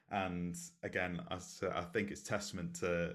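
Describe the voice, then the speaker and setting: This voice belongs to a man. It sits very deep and low. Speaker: podcast host. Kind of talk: casual interview chat. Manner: chatty, enthusiastic, filler-heavy.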